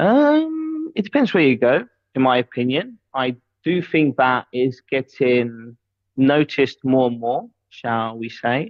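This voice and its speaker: The speaker talks at a fairly slow pace. The accent is British. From UK. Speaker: DJ and crypto personality. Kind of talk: live interview.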